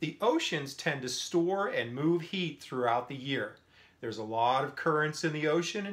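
Lively intonation marks this speech. The pace is moderate. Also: man. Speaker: science teacher. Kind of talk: lecture. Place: home room. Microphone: phone near.

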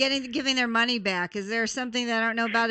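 A woman talks very fast with a fairly high pitch and a bright, sharp tone. The background is quiet. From US West. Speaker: radio talk show host. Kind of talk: radio talk show. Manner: animated. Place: studio. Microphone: studio mic.

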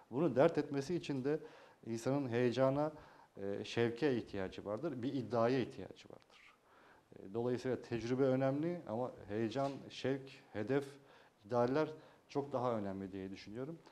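A man at medium pitch, moderate pace, ordinary pitch variation, and long, frequent pauses. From Turkey, Yalova (Çiftlikköy); Turkey. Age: 30s. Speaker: mayoral candidate, former journalist; candidate. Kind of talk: TV interview. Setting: TV studio. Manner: hesitant, many filler sounds. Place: studio. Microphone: lapel.

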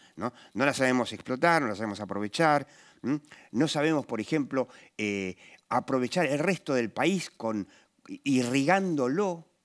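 In a quiet background, a man with an Argentine accent speaks with lively intonation and long, frequent pauses. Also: fairly slow pace. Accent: Rioplatense Argentine Spanish. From Argentina. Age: 60s. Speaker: political talk show host; TV commentator. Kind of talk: interview talk show. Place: studio. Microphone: headset.

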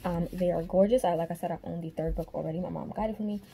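Fairly even intonation over noticeable background noise. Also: woman. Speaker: book vlogger. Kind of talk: casual vlog. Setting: home, self-recorded. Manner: fast talker; casual, chatty. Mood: excited, chatty. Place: home room. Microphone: webcam.

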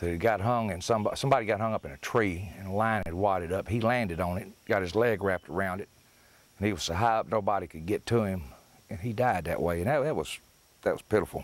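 Talking at a very fast pace, a man with a Tennessee accent has a fairly low pitch. His pitch varies in an ordinary way, and the sound is dry with no echo. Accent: Southern US (Tennessee). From US South. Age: 50s. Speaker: fishing instructor. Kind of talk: tutorial. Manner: casual. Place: open country. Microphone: lapel.

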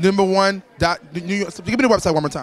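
Speaking at a very fast pace, a man sounds animated on a dry recording with no echo. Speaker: co-host and musician; co-host. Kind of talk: red carpet interviews. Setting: event venue. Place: hall. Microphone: handheld.

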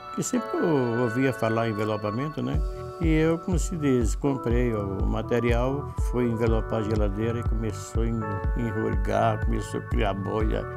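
The speaker talks at a moderate pace while clear music plays in the background. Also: man. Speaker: workshop owner, course student. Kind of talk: testimonial interview answer. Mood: calm, pleased. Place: classroom. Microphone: lapel.

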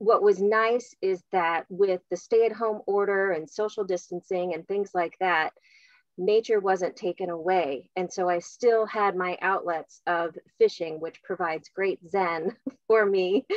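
A woman speaks fairly slowly with fairly even intonation. The sound is dry with no echo, and the background is quiet. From US Midwest. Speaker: donor engagement officer. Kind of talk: panel discussion. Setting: video call. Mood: warm, relaxed. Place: home room. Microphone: video call.

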